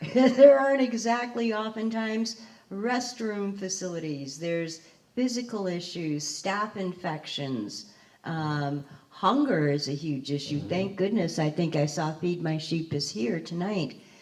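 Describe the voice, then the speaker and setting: A woman's fairly low voice with very wide pitch swings, a fairly slow pace and audible room echo. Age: 60s. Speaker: formerly homeless panelist. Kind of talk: panel discussion.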